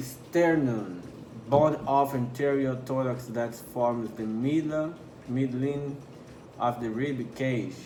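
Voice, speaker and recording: At a very slow pace, a man with a non-native accent speaks at a medium pitch and fairly even intonation. The recording has audible room echo and noticeable background noise. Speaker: anatomy tutor. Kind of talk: tutorial. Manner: halting, stumbles over terms.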